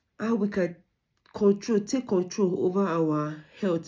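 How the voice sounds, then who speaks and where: Her tone is dark and mellow, with fairly even intonation. The woman is recorded very cleanly against a silent background. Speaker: student. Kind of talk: recorded presentation. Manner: halting.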